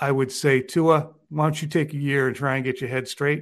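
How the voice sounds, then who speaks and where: A man's fairly high voice at a moderate pace, an ordinary speaking voice, over a quiet background. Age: 50s. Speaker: sports journalist. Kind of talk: casual chat.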